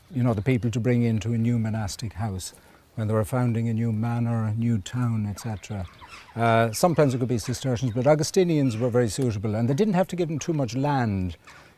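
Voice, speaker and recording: Over noticeable background noise, a man talks at a very fast pace in a medium pitch with ordinary pitch variation. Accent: Kilkenny. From Ireland, County Kilkenny. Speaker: archaeologist. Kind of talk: interview.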